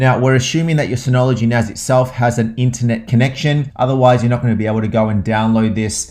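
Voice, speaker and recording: Very fast speech from a man with an Australian accent, medium in pitch with ordinary pitch variation. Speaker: tech tutorial presenter. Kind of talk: tutorial. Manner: casual, many filler uhs.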